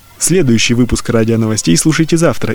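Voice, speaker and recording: Talking at a very fast pace, a man with a medium-pitched voice and ordinary pitch variation is heard against noticeable background noise. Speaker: radio news presenter. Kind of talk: news reading.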